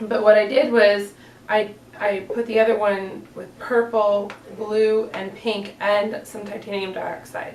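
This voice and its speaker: Speaking with a Northeastern US accent, a woman with a fairly high pitch keeps a monotone, flat intonation despite big swings in loudness, amid audible room echo and noticeable background noise. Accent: generic Northeast US. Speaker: soap maker, small business owner. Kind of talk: tutorial. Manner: casual, hesitant with fillers.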